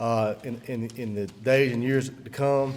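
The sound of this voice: A man at a medium pitch, slightly mellow in tone, with fairly even intonation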